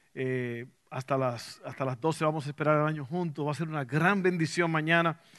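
A man talks at a fairly quick pace in an animated tone, bright and sharp. The background is quiet. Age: 50s. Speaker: pastor. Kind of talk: sermon.

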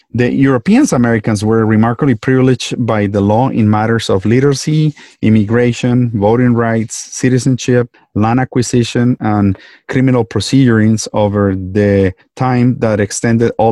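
A man with a Colombian accent speaks at medium pitch and a moderate pace, in a dark, mellow tone with fairly even intonation and very even loudness. The sound is dry and close with no echo, over a quiet background. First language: Spanish. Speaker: physician and podcast host. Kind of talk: interview.

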